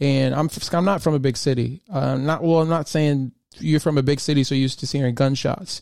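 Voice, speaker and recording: In a normal speaking voice with an American accent, the speaker keeps very even loudness and fairly even intonation, with hardly any pauses. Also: man, fairly high pitch for a man. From US Midwest, Michigan. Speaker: podcast host. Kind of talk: solo podcast monologue. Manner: casual, with frequent fillers.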